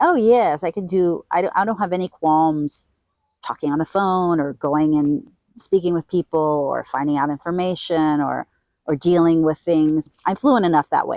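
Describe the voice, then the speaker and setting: A woman speaks at a moderate pace in a fairly low voice with a dark, mellow tone and ordinary pitch variation, recorded very cleanly against a silent background with a dry, close sound and no echo. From Puerto Rico / US. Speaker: hostel owner. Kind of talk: interview. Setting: outdoors.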